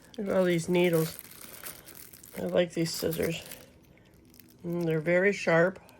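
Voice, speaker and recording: The intonation is monotone and flat, delivered at a fairly slow pace. Long, frequent pauses break it up over noticeable background noise. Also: woman, fairly low pitch for a woman. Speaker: crafting YouTuber. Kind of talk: product unboxing review. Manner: loud; casual, chatty.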